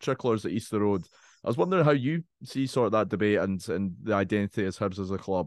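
With an Edinburgh accent, a man speaks at a fairly quick pace with lively intonation. The sound is dry and close with no echo, over a quiet background. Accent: Scottish (Edinburgh). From Scotland, Edinburgh (Leith). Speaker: podcast host. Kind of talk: casual interview chat.

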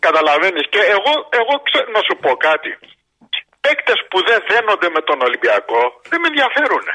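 At a moderate pace, the speaker's pitch swings very widely while loudness stays very even, broken by long, frequent pauses. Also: man, high pitch for a man. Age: 60s. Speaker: radio show caller, sports fan. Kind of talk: casual call-in chat about sports.

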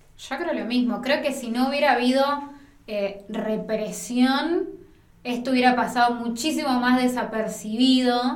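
A woman speaks at a fairly slow pace with a high pitch and ordinary pitch variation, with audible room echo and noticeable background noise. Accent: Rioplatense. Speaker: film journalist, podcast co-host. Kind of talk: casual chat.

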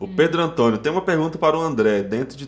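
With ordinary pitch variation, the man rattles off his words at a very fast pace. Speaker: podcast host. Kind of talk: casual chat. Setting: studio.

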